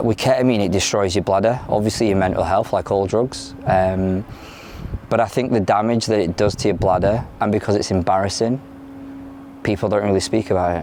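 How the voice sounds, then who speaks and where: Over noticeable background noise, a man with a fairly low voice speaks at a fairly quick pace with fairly even intonation and very even loudness. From London, moved to South Yorkshire at ten. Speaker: former addict in recovery, academic researcher. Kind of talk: interview testimony. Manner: hesitant, many fillers.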